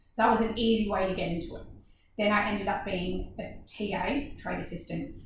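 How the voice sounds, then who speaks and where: Somewhat breathy and medium in pitch, a woman talks at a fairly quick pace with ordinary pitch variation in audible room echo. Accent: Australian. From Australia, Gold Coast. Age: 30s. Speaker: dance business owner. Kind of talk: casual chat.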